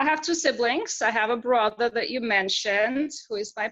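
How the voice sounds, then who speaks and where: Her tone is bright and sharp. This woman talks at a fairly quick pace with ordinary pitch variation. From Belarus. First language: Russian or Belarusian. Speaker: entrepreneur. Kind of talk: interview.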